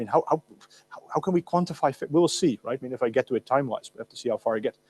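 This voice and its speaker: A man with a Dutch accent talks in an animated tone at a fairly high pitch, with ordinary pitch variation. The sound is dry and close with no echo. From Netherlands. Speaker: university lecturer. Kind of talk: lecture. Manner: animated, with many fillers and repetitions. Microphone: loud, echoing amplification.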